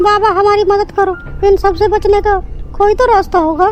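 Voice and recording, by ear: In a cartoonish character voice, a woman speaks at an extremely high pitch and a moderate pace. Her intonation is monotone and flat, her loudness very even, with clear background noise behind her.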